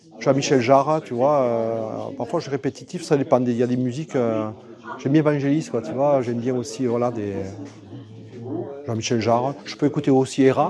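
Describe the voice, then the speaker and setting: Against noticeable background noise, a man with a medium pitch talks at a moderate pace, taking long, frequent pauses. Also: ordinary pitch variation. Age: 60s. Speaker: sculptor. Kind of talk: casual interview. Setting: art exhibition venue. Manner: halting, many fillers and repetitions.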